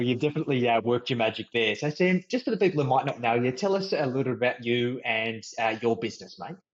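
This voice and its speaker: A man with an Australian accent talks at a very fast pace. His medium-pitched voice has lively intonation. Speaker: podcast host, financial mentor. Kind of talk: podcast interview.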